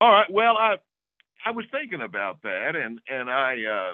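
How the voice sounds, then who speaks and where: The voice moves in very wide pitch swings. Its pace is moderate. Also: man. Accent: Oklahoma. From Oklahoma. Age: 60s. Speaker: hunting video host. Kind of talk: casual interview storytelling. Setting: remote call. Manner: repeats words often.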